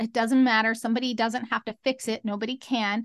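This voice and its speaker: A woman speaks with a fairly high pitch and fairly even intonation. The sound is dry and close, with no echo and a quiet background. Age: 40s. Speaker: motivational speaker. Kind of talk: interview. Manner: halting.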